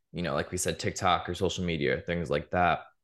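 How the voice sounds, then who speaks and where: This man's voice is very deep and low. He speaks with an American accent against a quiet background. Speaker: podcast host. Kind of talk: interview, casual chat.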